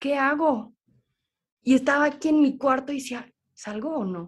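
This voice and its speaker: Speaking at a fairly slow pace, a woman with a high voice sounds animated, with lively intonation. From Switzerland. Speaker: holistic therapist. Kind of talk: interview.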